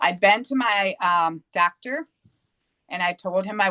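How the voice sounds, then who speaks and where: A woman with a plain, everyday voice and medium pitch speaks at a moderate pace in a dry, close recording with no echo. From US Northeast. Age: 60s. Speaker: yoga instructor. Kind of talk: interview testimony.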